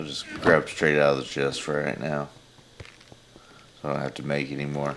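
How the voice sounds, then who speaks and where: A man with a very deep, low voice and monotone, flat intonation at a moderate pace, over noticeable background noise. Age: 30s. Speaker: gaming livestreamer. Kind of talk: casual chat.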